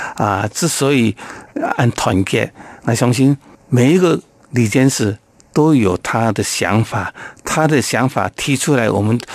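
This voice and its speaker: A man with a medium pitch speaks at a fairly slow pace with very even loudness, ordinary pitch variation and long, frequent pauses, in a dry, close sound with no echo. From Taiwan, Taoyuan Yangmei. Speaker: Hakka community leader and businessman. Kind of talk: interview.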